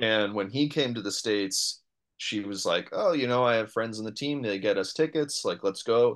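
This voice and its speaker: With an American accent and an ordinary speaking voice, a man talks at a moderate pace with medium pitch and ordinary pitch variation over a quiet background. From New York City. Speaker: comedian and improviser. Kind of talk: casual chat.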